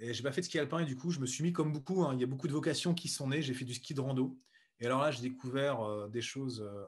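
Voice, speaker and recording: The man's voice shows ordinary variation in pitch. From central France (Berry, Bourges); France. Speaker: speed skier and entrepreneur; interview guest. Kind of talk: interview. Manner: hesitant, with many repetitions. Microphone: video call.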